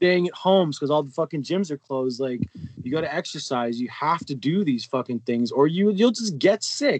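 Fairly high in pitch, a man speaks in a normal speaking voice at a fairly quick pace with lively intonation. The sound is dry and close, with no echo. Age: 30s. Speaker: electronic music producer. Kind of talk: casual chat.

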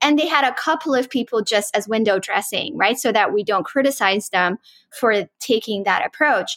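Her pitch fairly high and her loudness very even, a woman with an unremarkable speaking voice talks at a moderate pace with lively intonation, the sound dry and close with no echo. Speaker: AI researcher and institute founder. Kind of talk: casual interview discussion. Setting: podcast interview.

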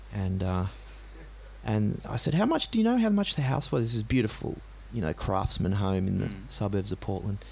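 In an Australian accent, a man speaks at a fairly quick pace with audible room echo around him. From Australia, Gympie, Queensland. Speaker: singer-songwriter. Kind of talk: live interview. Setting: stage with audience. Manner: halting.

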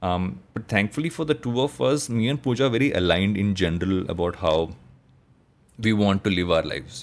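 A man's fairly low voice, very fast yet broken by long, frequent pauses, with lively intonation, on a very clean recording with a silent background. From India, coastal Andhra Pradesh. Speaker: entrepreneur and podcaster. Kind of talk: casual interview chat. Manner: hesitant, many fillers.

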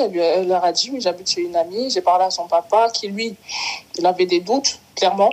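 This woman speaks fairly quickly at a medium pitch, her pitch varying in an ordinary way, with noticeable background noise present. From Cameroon. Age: 20s. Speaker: footballer and insurance salesperson. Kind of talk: interview, personal testimony.

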